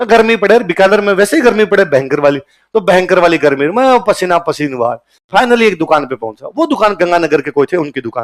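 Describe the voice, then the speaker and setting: In an animated tone, a man speaks at a moderate pace with very wide pitch swings and big swings in loudness. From Rajasthan, canal belt of Bikaner district. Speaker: teacher. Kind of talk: motivational talk to students. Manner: animated storytelling.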